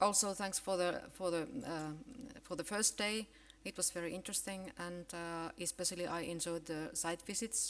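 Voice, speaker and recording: Speaking with a Finnish accent, a woman has a fairly low pitch, ordinary pitch variation and a moderate pace. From Finland. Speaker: professor of education. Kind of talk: conference keynote. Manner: halting, many fillers and restarts.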